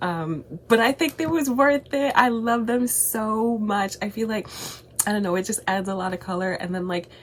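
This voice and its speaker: Noticeable background noise sits behind a woman speaking at a moderate pace, her fairly high pitch carrying lively intonation. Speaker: YouTuber. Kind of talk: casual vlog chat.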